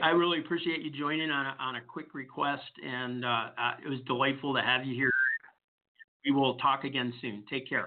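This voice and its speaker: Fairly quick and with fairly even intonation, a man with an American accent speaks in an ordinary speaking voice at a fairly high pitch. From US Midwest, Detroit. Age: 60s. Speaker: HR podcast host. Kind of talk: casual interview.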